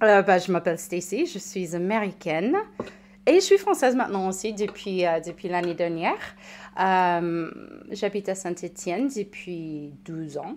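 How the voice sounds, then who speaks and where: A woman with an American accent, medium-pitched, with ordinary pitch variation and a fairly slow pace, on a very clean recording with a silent background. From United States. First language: English (speaking French). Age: 30s. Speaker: recovered alcoholic, patient expert. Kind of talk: testimony. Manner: halting.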